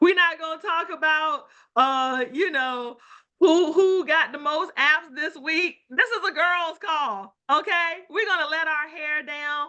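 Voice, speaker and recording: A woman raises and projects her extremely high, bright, sharp voice with ordinary pitch variation. She speaks at a very slow pace against a quiet background. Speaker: life insurance team leader hosting a call. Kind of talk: casual call intro. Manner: animated.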